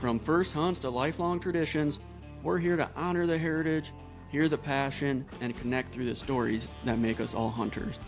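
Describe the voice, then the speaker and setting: Over music in the background, a man with a fairly high pitch keeps very even loudness at a moderate pace, with ordinary pitch variation. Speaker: podcast host. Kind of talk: podcast intro read.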